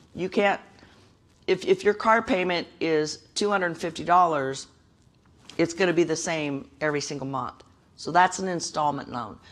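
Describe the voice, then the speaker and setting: A woman's fairly low voice at a moderate pace, with ordinary pitch variation and long, frequent pauses. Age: 60s. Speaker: credit counselor. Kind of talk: workshop presentation.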